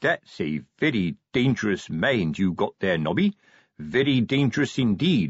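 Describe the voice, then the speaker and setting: A man puts on a growling character voice at medium pitch, swinging very widely in pitch. He speaks quietly at a moderate pace. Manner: hushed, low, impressed.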